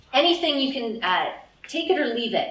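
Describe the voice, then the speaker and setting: With a Canadian accent, a woman talks at a fairly quick pace in a high pitch with very wide pitch swings, amid noticeable background noise and audible room echo. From Canada, Ottawa, Ontario. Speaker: mindfulness teacher and career counselor. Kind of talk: lecture. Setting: stage with audience. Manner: animated.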